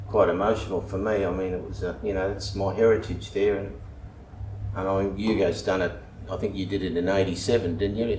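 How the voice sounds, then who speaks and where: A man with an Australian accent, fairly low pitch and monotone, flat intonation at a fairly quick pace, with noticeable background noise and audible room echo. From Western Australia, Perth. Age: 70s. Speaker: local resident. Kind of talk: interview. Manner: halting.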